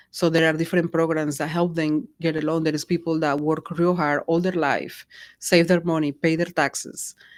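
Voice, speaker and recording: A woman in a Spanish accent speaks at a moderate pace and a fairly low pitch with monotone, flat intonation, on a very clean recording with a silent background. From Colombia. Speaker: real estate agent. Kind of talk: interview conversation.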